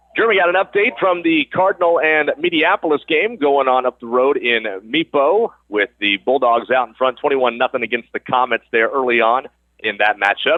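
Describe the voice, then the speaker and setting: Fairly quick and lively in intonation, a man speaks at a fairly high pitch with very even loudness. His is an unremarkable speaking voice. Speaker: radio sports play-by-play announcer. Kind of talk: live radio play-by-play sports broadcast.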